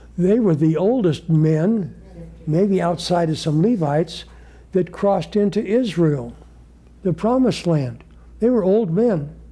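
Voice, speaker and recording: Amid audible room echo, a man with a high pitch and a dark, mellow tone talks at very even loudness, with long, frequent pauses. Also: ordinary pitch variation. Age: 80s+. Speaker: Bible study teacher. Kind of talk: Bible study lecture with group discussion. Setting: congregation study group, live. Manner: halting.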